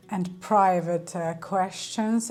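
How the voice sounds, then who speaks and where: A woman of medium pitch speaks at a fairly slow pace with fairly even intonation amid noticeable background noise. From Ukraine. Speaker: lifestyle vlogger. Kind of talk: casual vlog talk to camera. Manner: hesitant, many fillers.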